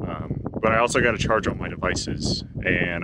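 A man's voice comes through dry, with no echo, while loud background noise fills the recording. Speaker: hiker vlogger. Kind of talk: casual vlog chat. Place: open country. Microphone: phone near.

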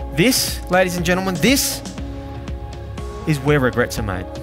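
Clear music plays in the background as a voice at a moderate pace comes through with a dry sound and no echo. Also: man. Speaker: keynote speaker. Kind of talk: motivational keynote speech to a live audience. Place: stage. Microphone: headset.

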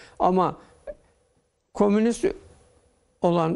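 Speaking at a fairly slow pace, a man uses a high pitch. The background is quiet. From Turkey, Zonguldak Ereğli area; Turkey. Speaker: interview guest. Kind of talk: TV interview. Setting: TV studio. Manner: formal. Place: studio.

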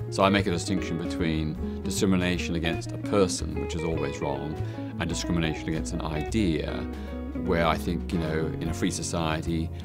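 A man talks at a fairly quick pace. Loud music plays in the background. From Australia. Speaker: human rights campaigner. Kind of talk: interview answer. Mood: calm, reflective. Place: hall. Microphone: lapel.

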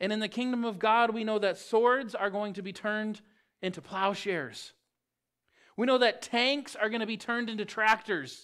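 Against a quiet background, a man speaks at a moderate pace in a high pitch with a bright, sharp tone and fairly even intonation. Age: 30s. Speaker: pastor. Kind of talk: sermon. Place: church.

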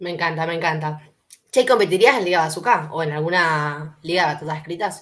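A woman talks at a fairly quick pace. Her pitch is fairly low with ordinary variation. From Mendoza, Argentina. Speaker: interviewer. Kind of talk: interview. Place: home room.

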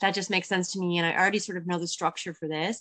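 At a medium pitch, a woman speaks with fairly even intonation over a quiet background. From Newfoundland. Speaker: cookbook author. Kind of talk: interview. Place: home room. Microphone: video call.

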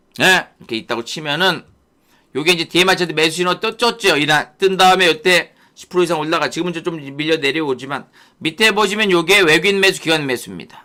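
A man's high-pitched voice has a bright, sharp tone and ordinary pitch variation. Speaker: stock market YouTube host. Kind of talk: live stream market commentary. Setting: YouTube live broadcast. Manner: distinctive speaking style.

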